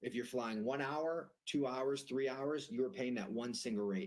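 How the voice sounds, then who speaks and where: A man speaks at a moderate pace with an American accent. His pitch is medium. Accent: Boston accent, comes out sometimes. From Boston area, US. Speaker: private jet broker. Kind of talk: sales call explaining jet charter.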